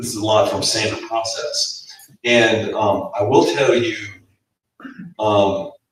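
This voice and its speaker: Speaking at a fairly slow pace with long, frequent pauses, a man's voice swings widely in loudness amid audible room echo. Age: 60s. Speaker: health seminar speaker. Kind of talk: seminar talk with audience Q&A. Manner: halting, repeats words.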